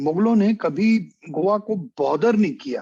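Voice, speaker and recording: The background is quiet as a man talks with lively intonation. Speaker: history professor. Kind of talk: lecture. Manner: halting, with filler sounds; mixes Hindi with English.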